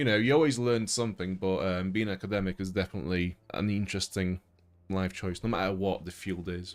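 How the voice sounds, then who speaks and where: His pitch is very deep and low, and this man moves at a fairly quick pace with ordinary pitch variation. The recording is very clean, with a silent background. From Poland. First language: Polish. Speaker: gaming streamer. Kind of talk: casual chat. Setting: live stream.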